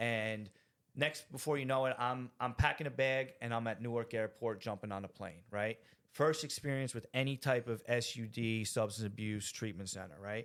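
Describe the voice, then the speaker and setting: At a moderate pace, a man of medium pitch speaks with ordinary pitch variation. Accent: New Jersey. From New Jersey (Rahway). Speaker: recovering addict sharing his story. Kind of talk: testimony. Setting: studio. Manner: animated.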